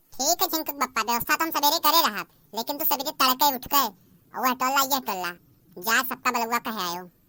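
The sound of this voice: A woman performs a cartoonish character voice at a high pitch, with lively intonation and a fairly quick pace, on a very clean, dry, close recording with a silent background and no echo.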